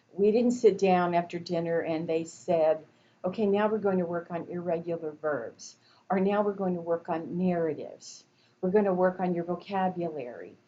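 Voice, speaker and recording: A woman talks at a moderate pace in an ordinary speaking voice. Her pitch is fairly low and her intonation fairly even. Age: 60s. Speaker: college instructor. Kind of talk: lecture. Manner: conversational.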